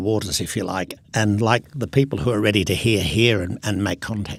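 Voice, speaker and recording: With an Australian accent, a man speaks at a moderate pace in a fairly low voice. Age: 70s. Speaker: business innovator. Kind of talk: interview.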